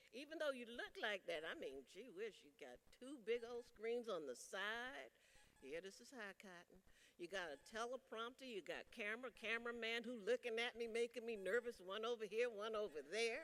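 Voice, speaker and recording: A woman with a South Carolina accent, fairly high in pitch, with vocal fry, lively intonation and a moderate pace. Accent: US Southern (South Carolina). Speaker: union leader. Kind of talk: convention speech. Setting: stage with audience. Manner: animated.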